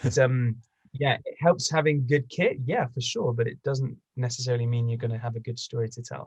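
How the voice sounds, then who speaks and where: With an English accent, a man talks at a fairly quick pace in a medium pitch, somewhat breathy, his intonation fairly even. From China. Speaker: bagpiper and travel video maker. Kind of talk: casual interview chat.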